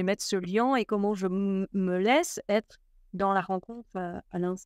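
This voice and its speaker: A woman's fairly slow, fairly even-toned speech, dry with no echo, over a quiet background. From Belgium. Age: 40s. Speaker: spiritual teacher; interview guest. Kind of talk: casual interview. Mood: warm, calm, reflective. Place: home room.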